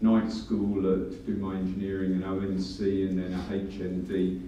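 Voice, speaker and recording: Someone with a London accent talks at a fairly slow pace, with audible room echo around the voice. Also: man. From London, England. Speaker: engineer, business panelist. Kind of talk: panel discussion. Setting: conference panel with audience.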